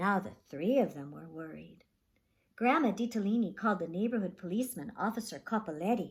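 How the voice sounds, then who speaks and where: A woman speaks at a moderate pace and a medium pitch, sounding somewhat breathy. The recording is very clean, with a silent background. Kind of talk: children's story read-aloud. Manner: animated, expressive.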